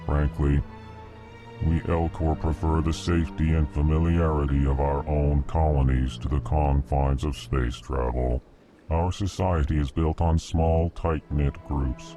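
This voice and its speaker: Clear music plays behind a man doing a put-on character voice. His pitch is very deep and low, and his pace is moderate. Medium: video game. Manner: slow, formal, prefaces lines with emotion labels.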